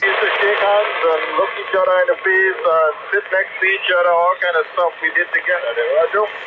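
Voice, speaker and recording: The speech moves at a fairly quick pace with hardly any pauses. Noticeable background noise runs underneath. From Grenada, West Indies. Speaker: truck driver, radio operator. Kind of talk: radio contact chat. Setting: mobile radio in truck, Jasper Park.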